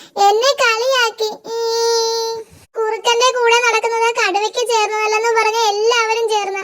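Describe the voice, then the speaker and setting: A cartoonish character voice speaks at a moderate pace at an extremely high pitch with monotone, flat intonation. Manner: naive, earnest.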